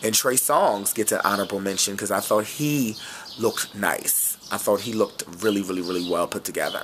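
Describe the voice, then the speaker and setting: There's a man talking here. Behind his voice, background noise is noticeable. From West Philadelphia. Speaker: celebrity fashion vlogger. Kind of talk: casual vlog review. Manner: animated.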